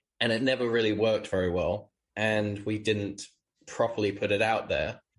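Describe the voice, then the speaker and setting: With a British accent, a man talks at a fairly quick pace. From UK. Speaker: startup founder. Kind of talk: interview.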